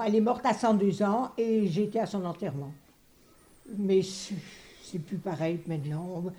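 A woman with a somewhat breathy, dark, mellow tone talks at a very slow pace, medium in pitch and with ordinary pitch variation. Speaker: retired interviewee recalling school days. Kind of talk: testimony.

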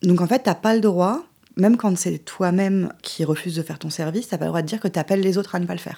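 This woman's voice has a dark, mellow tone and fairly low pitch. Its pitch variation is ordinary. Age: 40s. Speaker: independent journalist. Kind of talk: interview conversation.

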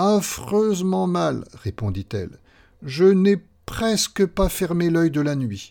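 Over a silent background in a very clean recording, a man with a dark, mellow tone and a high pitch talks at a very slow pace, his pitch swinging very widely. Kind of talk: fairy tale narration, read aloud. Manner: storyteller's measured, gently expressive pace.

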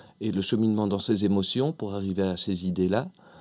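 A man with an ordinary speaking voice, fairly low in pitch, talks at a moderate pace in a dry, close, very clean recording with no echo and a silent background. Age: 40s. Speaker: actor and clown. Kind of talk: radio interview. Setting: radio studio.

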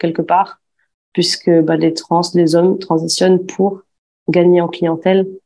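A woman's dark, mellow tone at a fairly low pitch and a very slow pace. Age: 20s. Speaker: former aesthetic clinic assistant. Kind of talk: testimony. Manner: hesitant, many fillers.

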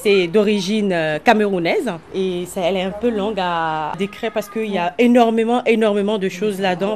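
In an unremarkable speaking voice, a woman of medium pitch speaks at a moderate pace with fairly even intonation. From Benin. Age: 30s. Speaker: community cook. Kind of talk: interview.

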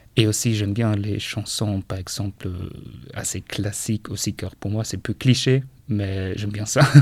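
Speaking with a German accent, a man talks at fairly low pitch and a fairly slow pace. His intonation is fairly even and his voice somewhat breathy. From northern Germany, Schleswig-Holstein. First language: German (speaking French). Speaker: foreign language assistant at a school. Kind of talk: interview. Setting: school radio studio. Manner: halting, many hesitations.

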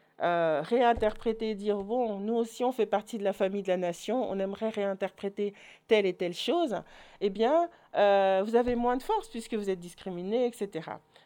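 Against a quiet background, a woman speaks at medium pitch with a dark, mellow tone. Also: ordinary pitch variation, moderate pace. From Belgium, Orval area. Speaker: association president and educator. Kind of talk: online talk. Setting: online video conference.

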